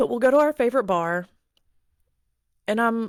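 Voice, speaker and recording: Captured as a very clean recording with a silent background and a dry, close sound with no echo, a woman speaks with lively intonation. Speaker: podcast host. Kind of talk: personal monologue podcast. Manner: loud.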